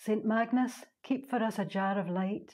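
A woman speaks at a fairly slow pace in a medium pitch, her somewhat breathy voice dark and mellow in tone, with ordinary pitch variation on a very clean recording over a silent background. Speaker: poet. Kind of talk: poetry reading.

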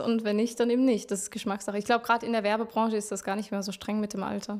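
A woman speaks at a fairly high pitch with fairly even intonation. The background is quiet. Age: 20s. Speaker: singer-songwriter; interviewee. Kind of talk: interview. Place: home room. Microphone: handheld.

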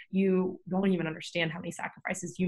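Over a quiet background, a woman talks at a very fast pace in a somewhat breathy voice. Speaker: podcast host. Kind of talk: casual chat. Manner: animated. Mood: warm, earnest. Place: home room.

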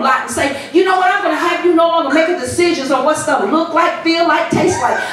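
A woman talks at an extremely high pitch, with audible room echo and light background noise. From US Midwest, Chicago. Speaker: pastor. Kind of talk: sermon building to an urgent exhortation, hammering repeated commands. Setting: church with congregation. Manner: insistent, rhythmic repetition of short imperative phrases; emphatic, escalating call-and-response style build. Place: church.

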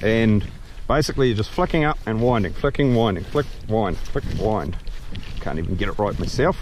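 A man at a moderate pace with lively intonation and long, frequent pauses, the sound dry with no echo, noticeable background noise behind him. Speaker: kayak fishing instructor. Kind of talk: tutorial. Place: boat. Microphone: camera far.

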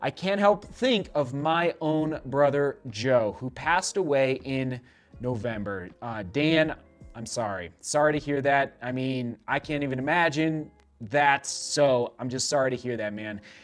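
At a moderate pace, a man speaks while faint music plays in the background. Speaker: running show host. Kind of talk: casual vlog chat reading viewer comments. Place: studio.

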